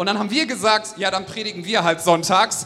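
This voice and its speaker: The tone is enthusiastic and upbeat. Noticeable background noise runs underneath. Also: man. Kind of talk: stage introduction of a guest, warm and enthusiastic. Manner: enthusiastic, upbeat.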